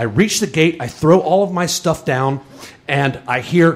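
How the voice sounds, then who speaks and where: A man's fairly high-pitched voice with lively intonation, over noticeable background noise. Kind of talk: live storytelling performance. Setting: live audience on stage.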